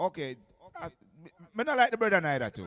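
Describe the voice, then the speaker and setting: A man with a Jamaican accent. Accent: Jamaican Patois-inflected English. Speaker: radio DJ and selector. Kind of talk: radio show chat. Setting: radio studio. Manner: animated.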